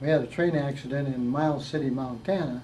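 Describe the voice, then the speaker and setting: Audible room echo surrounds a man with a fairly high pitch. He speaks at a moderate pace with fairly even intonation. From US Midwest, Detroit, Michigan. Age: 80s+. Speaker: war veteran. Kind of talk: interview. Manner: halting.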